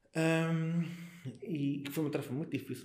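Audible echo from the room colors the voice. A man speaks rather slowly. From Portugal, Alentejo (Mértola). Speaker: local political activist. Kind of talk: casual interview. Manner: halting, with repetitions.

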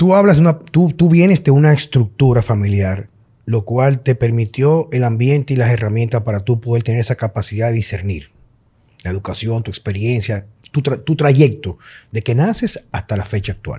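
A man's medium-pitched, dark, mellow voice, somewhat breathy, with a Dominican accent, lively intonation and a moderate pace. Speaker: podcast host, health coach. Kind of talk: casual chat.

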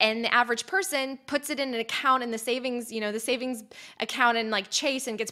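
A woman speaks with a bright, sharp tone. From US (born in Poland, moved at five). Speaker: podcast host and former journalist. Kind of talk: interview. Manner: eloquent.

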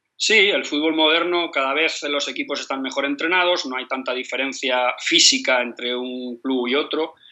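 A man's fairly high-pitched voice at a moderate pace, with ordinary pitch variation, hardly any pauses, and noticeable background noise. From Spain, Madrid. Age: 50s. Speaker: football coach. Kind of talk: interview. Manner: halting, with many repetitions.

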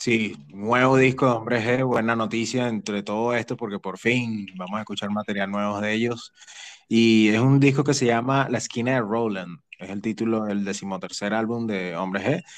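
At a moderate pace, a man speaks in a Venezuelan accent. His pitch is medium and his intonation fairly even. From Venezuela, Caracas. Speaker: podcast host. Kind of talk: casual chat.

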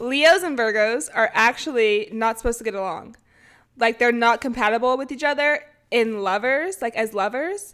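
In a Californian accent, a woman speaks with a fairly high pitch. Her tone is animated and her intonation lively. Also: moderate pace. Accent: Californian American. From US West, California Bay Area. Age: 20s. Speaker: podcast co-host, college golfer. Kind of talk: casual chat.

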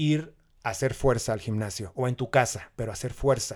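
A man with a plain, everyday voice, medium pitch and moderate pace, on a very clean recording with a silent background. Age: 40s. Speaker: amateur marathon runner. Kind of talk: casual interview.

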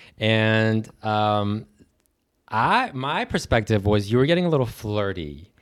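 A man speaks in an ordinary speaking voice, pitched fairly low. His pace is fairly slow and his intonation lively. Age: 30s. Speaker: podcast guest. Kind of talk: casual chat.

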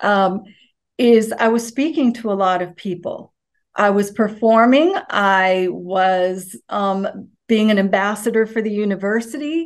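A woman talks at a fairly slow pace in a plain, everyday voice, her pitch fairly high with ordinary variation. The background is quiet. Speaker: university alum, former teacher and pageant winner. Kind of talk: interview.

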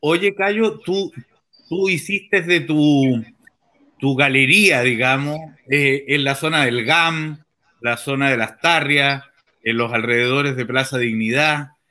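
The tone is bright and sharp, and the pace very slow. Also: man, fairly high pitch for a man, ordinary pitch variation. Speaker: journalist and interview host. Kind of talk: interview. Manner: hesitant.

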